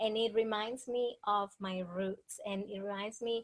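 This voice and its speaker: A woman with a Dominican accent speaks at a fairly slow pace. Her pitch is fairly high, and her intonation stays fairly even. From Dominican Republic. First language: Spanish. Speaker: author and speaker. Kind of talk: interview.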